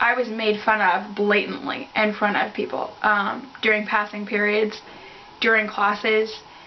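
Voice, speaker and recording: A woman speaks at a fairly slow pace in a fairly high pitch, her loudness very even, with audible room echo and noticeable background noise. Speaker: beauty vlogger. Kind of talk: casual chat. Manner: hesitant.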